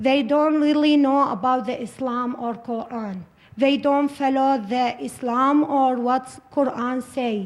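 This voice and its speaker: A woman's high voice at a fairly slow pace, set against noticeable background noise. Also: fairly even intonation. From Iraq. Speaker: refugee panelist. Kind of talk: panel discussion. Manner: halting.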